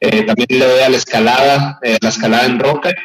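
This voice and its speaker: This man has a plain, everyday voice at medium pitch, with fairly even intonation. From northwest Mexico (Hermosillo, Sonora). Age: 30s. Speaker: tech education entrepreneur. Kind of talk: radio interview.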